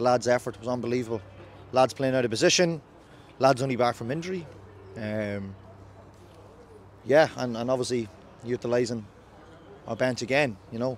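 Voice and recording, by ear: At a moderate pace and a medium pitch, a man talks with ordinary pitch variation and long, frequent pauses.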